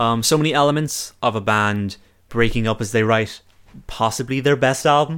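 This is a normal speaking voice, delivered at a moderate pace with ordinary pitch variation and very even loudness. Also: man, medium pitch for a man. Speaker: podcast host. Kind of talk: casual chat.

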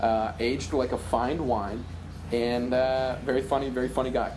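Moderately paced speech with audible room echo and music in the background. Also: man. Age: 20s. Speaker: comedy writer and sketch performer. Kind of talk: casual chat. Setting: video call.

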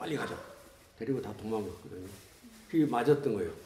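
A man speaks, his pitch swinging very widely up and down. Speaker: former political prisoner. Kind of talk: testimony.

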